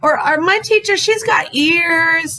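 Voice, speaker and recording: Using a raised, projected voice, a woman talks at a very slow pace. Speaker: elementary school teacher. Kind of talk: recorded lesson for young children. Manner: loud; animated.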